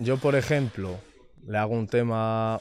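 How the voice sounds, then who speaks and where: A man speaks at a medium pitch with ordinary pitch variation, the sound dry with no echo and light background noise. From Spain, Madrid area (Rivas); Spain. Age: 20s. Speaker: reggaeton singer; interviewee. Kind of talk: casual interview chat. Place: studio. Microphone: studio mic.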